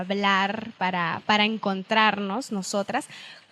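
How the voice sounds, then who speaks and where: Her bright, sharp tone marks a woman of medium pitch speaking at a fairly slow pace. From Venezuela, San Cristóbal (Andean). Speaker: podcast co-host. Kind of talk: casual chat.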